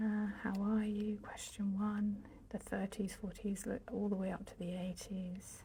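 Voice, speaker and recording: A soft-spoken woman whispering at a fairly slow pace with hardly any pauses. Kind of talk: ASMR bookshelf tour, casual talk to camera. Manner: soft-spoken, whispery.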